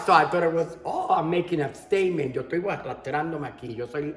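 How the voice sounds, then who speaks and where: With music playing in the background, a woman talks with ordinary pitch variation. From Puerto Rico. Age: 60s. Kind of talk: personal testimony. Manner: code-switching between English and Spanish.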